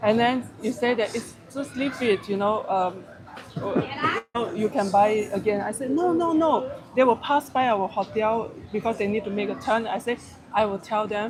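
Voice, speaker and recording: In a Malaysian accent, the speaker talks at a moderate pace against noticeable background noise. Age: middle-aged. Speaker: travel vlogger. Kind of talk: casual chat. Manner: halting.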